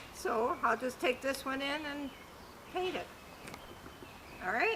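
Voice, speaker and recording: A woman's high, raised and projected voice with lively intonation, over noticeable background noise. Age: 80s+. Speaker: craftswoman. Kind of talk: casual interview.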